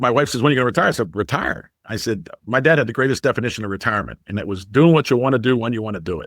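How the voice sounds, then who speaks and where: A man's very fast speech with vocal fry and lively intonation, in a very clean recording with a silent background. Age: 60s. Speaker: independent sales rep, business owner. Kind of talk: podcast interview.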